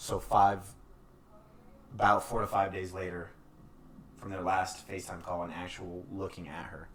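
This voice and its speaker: Long, frequent pauses break up a moderate pace, with fairly even intonation, big swings in loudness and audible room echo. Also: man, very deep, low pitch for a man. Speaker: podcast co-host. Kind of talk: casual podcast chat, reading news reports aloud. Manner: halting, stuttering.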